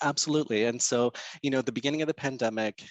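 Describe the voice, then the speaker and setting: This man has a Canadian accent. His pitch variation is ordinary. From Canada, Portuguese immigrant family. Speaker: insolvency trustee and financial counselor. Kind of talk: podcast interview. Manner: hesitant, many fillers and restarts.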